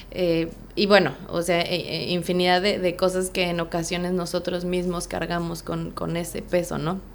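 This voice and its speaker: With audible room echo, a woman speaks at a fairly slow pace with fairly low pitch, monotone, flat intonation and hardly any pauses. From Mexico City. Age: 30s. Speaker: real estate agent. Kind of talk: interview.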